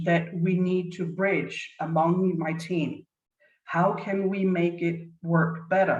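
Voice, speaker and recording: A woman with a Danish accent, medium in pitch, somewhat breathy, at a very slow pace. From Denmark. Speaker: business leadership consultant. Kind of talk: conference presentation.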